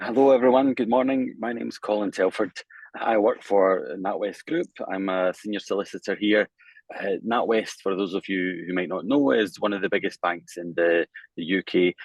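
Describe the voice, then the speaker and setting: A man's fairly low-pitched voice with a strong Scottish accent. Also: ordinary pitch variation, moderate pace. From Scotland. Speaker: bank lawyer. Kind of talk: panel introduction. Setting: online webinar.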